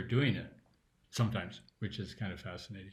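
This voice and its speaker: A man speaks in a fairly low, somewhat breathy voice. His pace is moderate and his pitch variation ordinary. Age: 70s. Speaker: spiritual teacher. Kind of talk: interview. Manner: halting.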